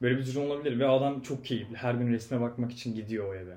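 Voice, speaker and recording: A man talks very fast at a medium pitch with fairly even intonation and a dark, mellow tone. Audible room echo surrounds his voice. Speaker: podcast guest. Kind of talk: casual chat.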